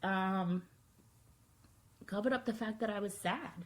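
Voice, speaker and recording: Somewhat breathy, a woman's voice moves along at a very slow pace. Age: 30s. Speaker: video blogger. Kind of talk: personal vlog monologue.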